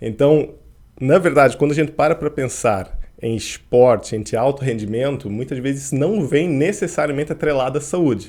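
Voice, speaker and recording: Here a man speaks at a fairly high pitch with ordinary variation. His pace is moderate. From Portugal (grew up there, born in Curitiba, Brazil). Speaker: endocrinologist and sports medicine doctor. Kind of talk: podcast interview.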